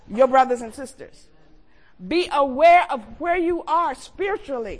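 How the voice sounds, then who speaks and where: A woman talks with lively intonation. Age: 70s. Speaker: preacher. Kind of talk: sermon. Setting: church. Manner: animated.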